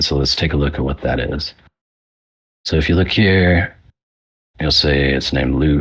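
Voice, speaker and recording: Ordinary pitch variation marks speech delivered at a moderate pace. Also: man. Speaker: workshop presenter. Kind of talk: tutorial. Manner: casual, filler-heavy; speeding up.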